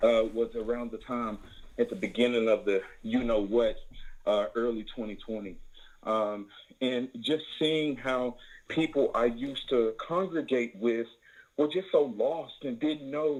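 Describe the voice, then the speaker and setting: This man has a Southern US accent and a medium pitch. He talks at a fairly slow pace with ordinary pitch variation. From Tennessee, US South. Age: 20s. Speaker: caller. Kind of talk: call-in question on a religious broadcast.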